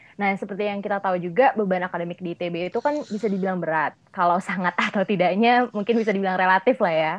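A woman at medium pitch talks at a very fast pace with hardly any pauses and ordinary pitch variation, against a quiet background. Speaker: student podcast host. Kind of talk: casual interview. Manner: animated.

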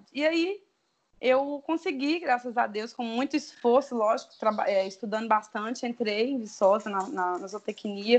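A woman's high-pitched voice at a moderate pace, with lively intonation. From Brazil, interior of Espírito Santo near Bahia border. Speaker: animal scientist, dairy consultant and entrepreneur. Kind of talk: casual interview. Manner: hesitant, many fillers.

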